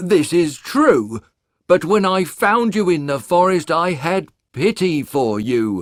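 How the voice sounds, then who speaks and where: Using a put-on character voice, a man speaks at a high pitch and a fairly slow pace with very wide pitch swings. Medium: audio drama.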